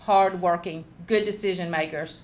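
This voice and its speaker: Speaking in a Southern accent, a woman uses a fairly low pitch and fairly even intonation. She goes at a fairly slow pace amid audible room echo. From US South, South Georgia. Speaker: agricultural leader and speaker. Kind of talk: panel talk.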